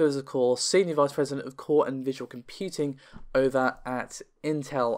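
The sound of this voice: In a very clean recording with a silent background, the voice moves at a fairly quick pace with fairly even intonation and a clear, smooth tone. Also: man.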